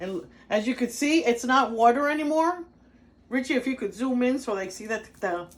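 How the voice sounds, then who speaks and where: A woman with a high-pitched voice speaks at a moderate pace with lively intonation. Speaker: cooking video host. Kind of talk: cooking tutorial. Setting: home kitchen. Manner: casual, chatty.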